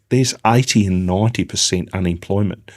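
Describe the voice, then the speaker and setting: A man with an Australian accent speaks at a fairly low pitch with fairly even intonation. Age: 60s. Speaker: business founder. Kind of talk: interview. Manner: halting.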